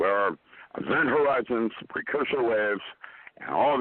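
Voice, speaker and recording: Here a man talks at a medium pitch. His pace is fairly slow. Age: 70s. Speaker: physicist. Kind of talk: interview.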